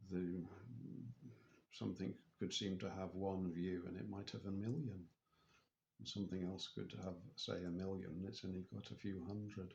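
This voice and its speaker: A man with an English accent speaks at a moderate pace. His pitch is very deep and low. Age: 60s. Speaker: spiritual vlogger. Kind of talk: personal video diary. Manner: halting.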